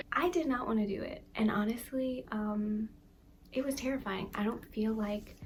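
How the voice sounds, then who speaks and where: A woman with a fairly high pitch and ordinary pitch variation speaks at a moderate pace while noticeable background noise runs underneath. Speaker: youtuber / vlogger. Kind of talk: casual talk to camera. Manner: soft, sometimes whispery.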